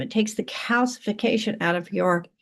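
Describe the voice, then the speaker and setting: Lively intonation at a moderate pace against a quiet background. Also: woman. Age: 60s. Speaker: skincare brand seller. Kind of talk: sales pitch. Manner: casual, halting.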